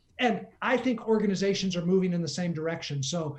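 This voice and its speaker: High-pitched male voice with lively intonation at a fairly quick pace, plus audible room echo. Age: 60s. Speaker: leadership coach. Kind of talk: interview.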